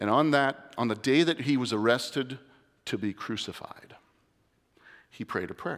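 With long, frequent pauses, a man speaks at a moderate pace and medium pitch with ordinary pitch variation on a very clean recording over a silent background. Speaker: lay preacher. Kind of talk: sermon. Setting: church. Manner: nervous, shaky.

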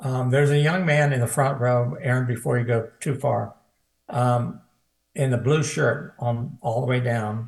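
Here a man with an American accent talks at a fairly slow pace. His medium-pitched voice is somewhat breathy, with fairly even intonation. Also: very even loudness. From US Midwest, Cincinnati. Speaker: evangelist. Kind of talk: prophetic ministry. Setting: video call.

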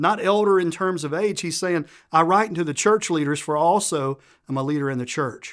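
A man speaks with a Southern US accent at a high pitch with ordinary pitch variation. His pace is moderate and the recording very clean, with a silent background. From Tennessee, US South. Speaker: guest preacher. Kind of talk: sermon. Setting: church. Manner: joking, animated.

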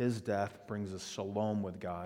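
A man's fairly low voice with a Texan accent. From South Texas, Padre Island area. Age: 50s. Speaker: pastor. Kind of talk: sermon.

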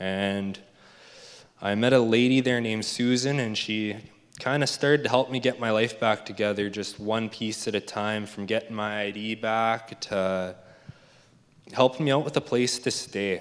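A man with a Canadian accent talks in an ordinary speaking voice at medium pitch. His intonation stays fairly even and his pace moderate. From Alberta, Canada. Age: 20s. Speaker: recovering addict in rehab program. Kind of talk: testimony. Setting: church.

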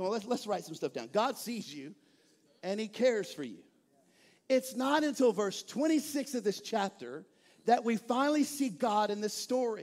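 With an American accent, a man talks in an animated tone at an extremely high pitch, captured in a very clean recording with a silent background. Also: lively intonation, moderate pace. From East Texas. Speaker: pastor. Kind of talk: sermon. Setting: church.

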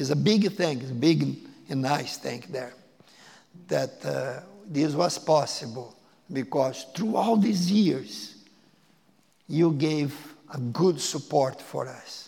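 At a very slow pace with long, frequent pauses, a man speaks at a fairly high pitch with lively intonation and big swings in loudness. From Brazil (Porto Alegre). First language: Portuguese. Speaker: missionary. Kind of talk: sermon. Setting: church. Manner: halting.

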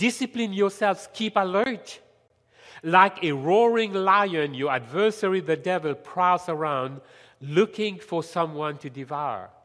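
Speaking in a French accent at a fairly slow pace, a man uses lively intonation and a high pitch. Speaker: lay preacher. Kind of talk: sermon. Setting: church.

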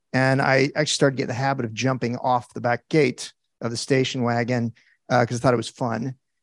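Dry, close sound with no echo captures a man speaking at a very fast pace and medium pitch with monotone, flat intonation. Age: 50s. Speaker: churchgoer sharing testimony. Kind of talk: testimony. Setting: church. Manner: halting.

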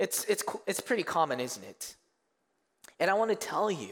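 A man with a Korean accent. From South Korea, moved to Canada in middle school. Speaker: youth pastor. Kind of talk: sermon. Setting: church stage with congregation.

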